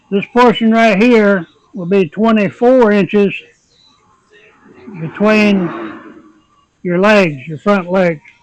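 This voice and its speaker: Over background music, a man with a high pitch talks at a very slow pace with ordinary pitch variation and long, frequent pauses. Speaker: woodworker. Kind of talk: woodworking tutorial talk to camera.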